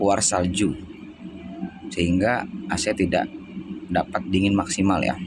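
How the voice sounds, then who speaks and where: Against music in the background, a man speaks with a fairly low pitch, ordinary pitch variation, very even loudness, and long, frequent pauses. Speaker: AC technician. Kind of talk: tutorial. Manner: casual, with fillers.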